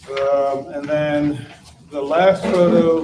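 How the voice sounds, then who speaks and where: There is noticeable background noise behind a man whose voice has a fairly high pitch. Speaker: electrical engineer and residential designer presenting to commission. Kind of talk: public meeting presentation. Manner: halting, many fillers.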